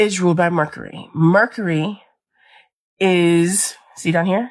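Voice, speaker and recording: A woman speaks at a fairly low pitch over a quiet background. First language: not English. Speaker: amateur astrology content creator. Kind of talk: casual explainer video. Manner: casual, conversational.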